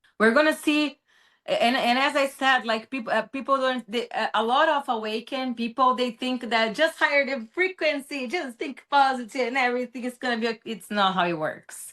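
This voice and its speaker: A woman with a Brazilian accent, high-pitched and bright, sharp in tone, at a moderate pace with ordinary pitch variation and hardly any pauses. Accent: Brazilian accent, noticeable. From Brazil, São Paulo. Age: 30s. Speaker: social media commentator. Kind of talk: interview. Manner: halting.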